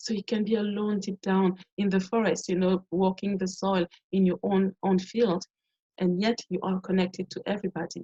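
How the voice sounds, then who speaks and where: At a moderate pace, a woman with a French accent and a medium pitch sounds somewhat breathy, with a dark, mellow tone, monotone, flat intonation and a dry, close sound with no echo. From Cameroon. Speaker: performer and community teacher. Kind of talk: webinar presentation. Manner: repetitive false starts.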